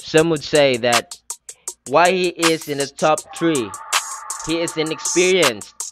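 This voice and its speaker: Over music in the background, a man speaks at a very slow pace with a fairly high pitch and ordinary pitch variation. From Philippines. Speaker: YouTuber. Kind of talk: casual talk to camera.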